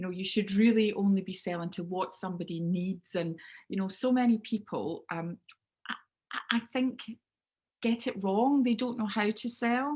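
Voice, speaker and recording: The woman's pitch sits at a medium level with ordinary pitch variation. She speaks at a moderate pace. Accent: Scottish. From Scotland, Clydebank near Glasgow. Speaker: business speaker and sales trainer. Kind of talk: webinar talk. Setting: video call. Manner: loud.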